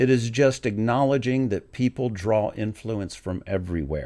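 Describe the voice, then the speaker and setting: A man with an ordinary speaking voice, medium pitch and ordinary pitch variation at a moderate pace, in a very clean recording with a silent background. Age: 60s. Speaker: music video reactor. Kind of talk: casual commentary rant. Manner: conversational, with many fillers.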